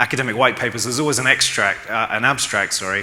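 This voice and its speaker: A man's voice with ordinary pitch variation, with noticeable background noise and audible room echo. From London, England. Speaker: e-commerce consultant. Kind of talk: conference talk. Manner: fast.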